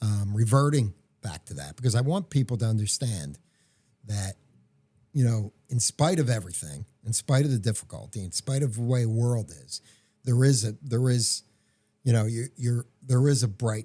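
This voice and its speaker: On a very clean recording with a silent background, a man with a medium pitch and a dark, mellow, somewhat breathy tone speaks at a moderate pace with long, frequent pauses, in a dry, close sound with no echo. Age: 60s. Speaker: entrepreneur and podcast co-host. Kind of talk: casual chat. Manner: halting, with many fillers and restarts.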